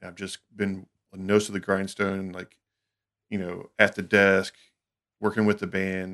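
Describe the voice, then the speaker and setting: A man with a Southern US accent, fairly low in pitch, at a fairly slow pace with long, frequent pauses, monotone, flat intonation and big swings in loudness. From US South, Alabama. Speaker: recording studio engineer. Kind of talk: casual chat.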